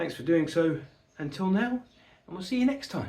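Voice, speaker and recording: A high-pitched man's voice with a British accent and very wide pitch swings, set in audible room echo. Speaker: model-building YouTuber. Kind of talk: casual video outro.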